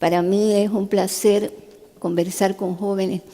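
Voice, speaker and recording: Behind this woman, background noise is noticeable. Her intonation stays fairly even at a medium pitch. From Cuba. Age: 70s. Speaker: neurosurgeon and human rights activist. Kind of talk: testimony talk to a youth summit. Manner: conversational.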